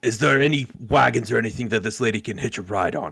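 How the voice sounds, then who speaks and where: A raspy, put-on character voice from a man, medium in pitch and very fast in pace. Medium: actual play. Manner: opportunistic.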